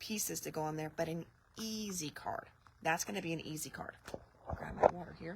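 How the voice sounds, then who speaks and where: A woman speaks at a fairly quick pace in a somewhat breathy voice. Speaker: craft product demonstrator. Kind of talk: live product showcase. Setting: live video stream. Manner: casual, chatty.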